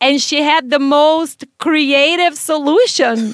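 Recorded in a dry, close sound with no echo, a woman with a high pitch talks at a very slow pace with lively intonation. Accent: Brazilian. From Brazil. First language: Portuguese. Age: 30s. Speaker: podcast host. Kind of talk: casual interview conversation.

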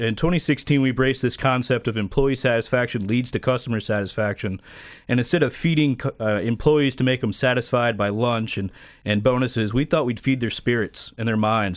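A man with an American accent has a plain, everyday voice at a medium pitch. He talks at a fairly quick pace with ordinary pitch variation. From Florida. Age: 30s. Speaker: car dealership owner. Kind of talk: radio interview.

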